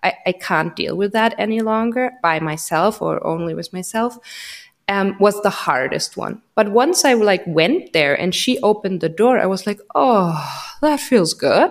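A woman with a German accent, medium pitch and lively intonation, at a fairly slow pace. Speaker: podcast host, psychologist. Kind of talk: casual interview. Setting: home, remote call.

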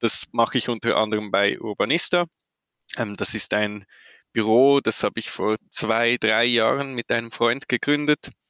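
A man talks in a Swiss German accent. His pace is moderate and his intonation fairly even. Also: medium pitch for a man. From Switzerland. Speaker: urban mobility planner. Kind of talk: interview.

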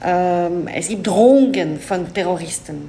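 Heard with audible room echo, a woman with a French accent speaks with ordinary pitch variation. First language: French (speaking German). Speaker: diplomat. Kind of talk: interview. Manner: halting.

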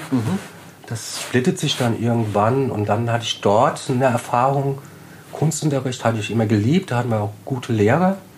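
With audible room echo and noticeable background noise, a man talks at a moderate pace and medium pitch with ordinary pitch variation. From German village near French border. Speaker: street worker. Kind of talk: casual interview. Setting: old factory hall.

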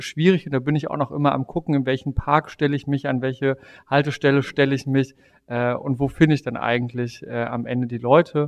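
A normal speaking voice from a man, medium-pitched, with fairly even intonation and a fairly quick pace, dry and close with no echo, against a quiet background. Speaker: politician. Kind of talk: interview.

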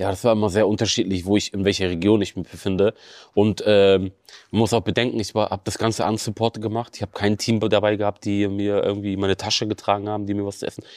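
Very fast speech from a man, fairly low-pitched, monotone and flat, with a dry, close sound and no echo. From Bremen, northern Germany. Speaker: extreme runner. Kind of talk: interview. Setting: studio.

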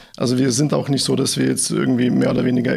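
A man talks at a very fast pace, with noticeable background noise. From Bad Mergentheim, Baden-Württemberg, Germany. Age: 30s. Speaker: engineering team leader. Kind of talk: business podcast interview.

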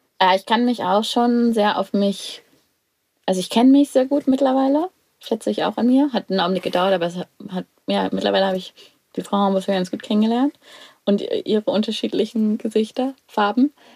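Delivered at a fairly quick pace with ordinary pitch variation, the voice sounds dry and close with no echo. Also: woman, fairly high pitch for a woman. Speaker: podcast co-host. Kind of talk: casual interview. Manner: restrained, controlled; hesitant, many fillers.

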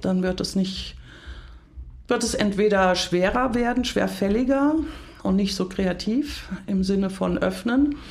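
Audible room echo lingers around words spoken very slowly. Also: woman. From Hunsrück, western Germany. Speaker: leadership coach. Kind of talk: podcast interview.

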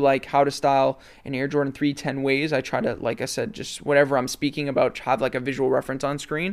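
A man speaks with a Canadian accent. He has a plain, everyday voice. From Canada, Toronto area (Mississauga). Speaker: sneaker and fashion content creator. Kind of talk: casual interview chat.

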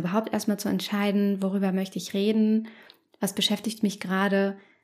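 Speaking at a moderate pace in a medium pitch, a woman is heard on a very clean recording with a silent background. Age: 30s. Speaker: psychologist and podcast host. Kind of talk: solo podcast monologue.

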